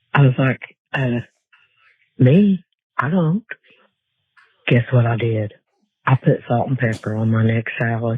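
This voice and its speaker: Somewhat breathy, a man speaks at a medium pitch and a fairly slow pace, with ordinary pitch variation. Long, frequent pauses break up his speech. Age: 60s. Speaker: caller. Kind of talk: voicemail message.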